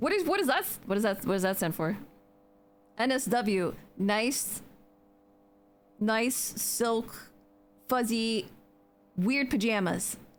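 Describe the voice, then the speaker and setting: Music plays in the background behind a woman with an American accent. She speaks at a fairly high pitch with long, frequent pauses. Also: lively intonation. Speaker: video game streamer. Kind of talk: casual live stream chat while gaming. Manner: animated.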